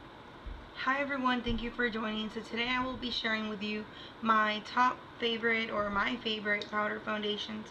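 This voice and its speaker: Flat, monotone delivery at a moderate pace. Noticeable background noise and audible room echo surround the voice. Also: woman, fairly high pitch for a woman. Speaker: beauty vlogger. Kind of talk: product review.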